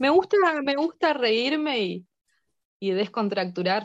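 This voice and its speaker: A woman talks at a very slow pace. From northeastern Argentina, near Brazil and Paraguay border. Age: adult, mother. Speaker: philosophy teacher. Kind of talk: casual interview. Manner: halting, frequent repetitions.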